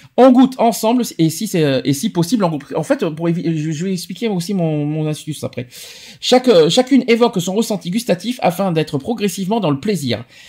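A man's high-pitched voice with a dark, mellow tone and lively intonation. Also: moderate pace. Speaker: radio show host. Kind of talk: casual chat. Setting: studio.

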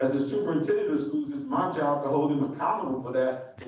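Speaking at a very fast pace, a man is heard with strong room echo and light background noise. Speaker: candidate. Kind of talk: forum speech. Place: hall.

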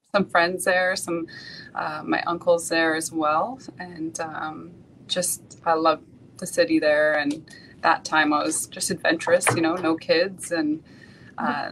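Over noticeable background noise, a woman with a Canadian accent speaks at a fairly low pitch. Her pace is fairly slow and her intonation fairly even. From Vancouver, Canada. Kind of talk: interview. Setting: video call. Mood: calm, reflective. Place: office. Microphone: video call.

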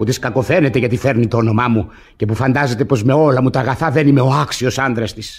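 A man speaks in a rumbling, put-on character voice over clear music in the background. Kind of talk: classical comedy stage acting. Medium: old radio play. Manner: grumbling, self-mocking, exasperated.

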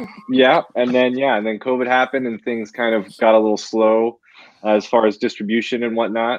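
Over a quiet background, a man speaks at a fairly quick pace in a dry sound with no echo. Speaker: guest. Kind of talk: interview answer. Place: home room. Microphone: video call.

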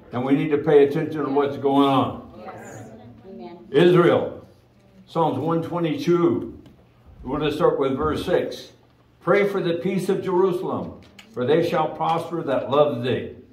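A man speaks at a very slow pace with ordinary pitch variation, and the room echo is audible. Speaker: pastor. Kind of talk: sermon. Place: church.

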